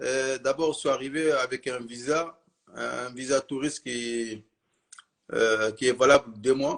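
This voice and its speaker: A man with a fairly high pitch talks fairly slowly, using ordinary pitch variation. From Mali. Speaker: witness of terror attack, shop worker. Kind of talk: interview. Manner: hesitant.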